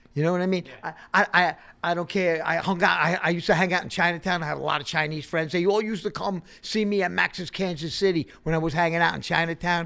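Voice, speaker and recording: Talking at a very fast pace with hardly any pauses, a man with a New York accent has a high pitch and a bright, sharp tone. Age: 60s. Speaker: hardcore punk musician. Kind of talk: casual chat. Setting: in a bar. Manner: animated. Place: studio. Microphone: studio mic.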